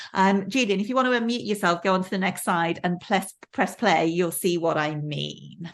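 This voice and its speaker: Over a quiet background, a woman talks with a slight Welsh accent. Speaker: professor. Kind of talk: lecture. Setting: video call. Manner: many fillers and repetitions.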